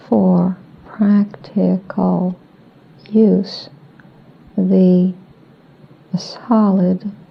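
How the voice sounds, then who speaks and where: Noticeable background noise surrounds a woman speaking very slowly. She leaves long, frequent pauses. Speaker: trance channeler. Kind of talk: trance channeling answers. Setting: old cassette tape recording.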